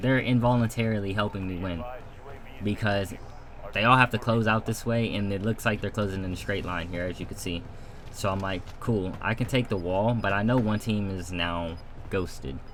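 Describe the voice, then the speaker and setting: He is a man with a normal speaking voice and a fairly low pitch. His pace is moderate and his intonation fairly even. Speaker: gaming streamer. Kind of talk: gameplay commentary breakdown.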